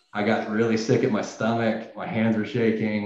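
A man with an American accent, medium pitch, and audible room echo. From US South, Tennessee. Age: 30s. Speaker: animator. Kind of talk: interview. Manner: hesitant, with many fillers.

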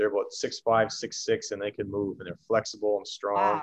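Speaking at a very fast pace, a man has a slight Canadian accent. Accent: Canadian, slight after years in US. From Canada. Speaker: former pro hockey player. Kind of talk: casual interview.

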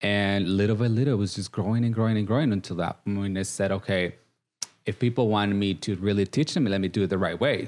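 Speaking very fast, a man with a Guatemalan accent has a fairly low pitch. His loudness is very even, and his intonation is fairly even. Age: 30s. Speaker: makeup artist, reality TV contestant. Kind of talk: casual interview. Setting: studio.

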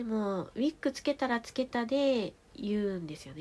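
Speaking at a moderate pace, a woman sounds calm and relaxed. Her voice is somewhat breathy. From Tohoku, Japan (Fukushima, then Aomori). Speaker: podcast storyteller. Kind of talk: bedtime monologue. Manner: soft-spoken; calm, relaxed.

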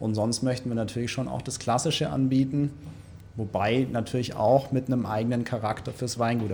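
Fairly even intonation and a moderate pace from a man with an unremarkable speaking voice at medium pitch. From Ulm, Swabia, Germany. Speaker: winery manager. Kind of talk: casual interview.

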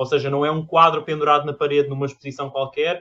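A man speaks with a European Portuguese accent. His intonation stays fairly even. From Portugal. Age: 20s. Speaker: artist, amateur theatre actor. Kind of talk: casual chat. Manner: halting, with repetitions.

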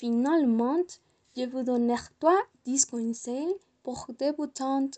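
Very slowly and with long, frequent pauses, a woman speaks at a high pitch in a dark, mellow tone, the sound dry and close with no echo. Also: ordinary pitch variation. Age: 20s. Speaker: student vlogger. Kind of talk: personal talk for French class. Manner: halting.

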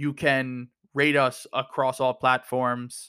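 A man with an American accent, medium pitch and a bright, sharp tone, in a monotone, flat intonation on a very clean recording with a silent background. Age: 30s. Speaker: sports podcast host. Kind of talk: casual chat.

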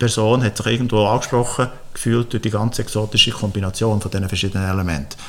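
In a normal speaking voice, a man talks at a fairly quick pace with a medium pitch and ordinary pitch variation. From Switzerland, Frutigen (Bernese Oberland). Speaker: agronomist and entrepreneur. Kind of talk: interview.

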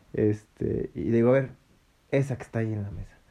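A man with a Mexican accent speaks at medium pitch in a dark, mellow tone. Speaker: podcast host. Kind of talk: casual chat.

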